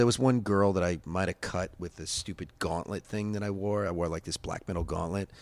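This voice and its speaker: A man with an American accent, fairly low pitch, an animated tone and a very fast pace, on a very clean recording with a silent background and a dry, close sound with no echo. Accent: Long Island accent, slight tonight. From Long Island, New York. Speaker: punk musician. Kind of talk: casual interview chat. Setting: closed bar. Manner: animated, fast with many repetitions.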